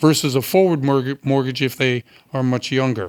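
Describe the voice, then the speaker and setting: A man with an American accent, a plain, everyday voice, medium pitch, ordinary pitch variation and a moderate pace, in a very clean recording with a silent background and a dry, close sound with no echo. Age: 60s. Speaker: radio host. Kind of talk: interview.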